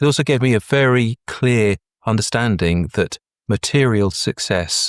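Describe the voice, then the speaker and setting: Lively intonation carries this southern English accent on a very clean recording with a silent background and a dry, close sound with no echo. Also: man. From Brighton, southern England. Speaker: breathwork facilitator. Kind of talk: interview answer.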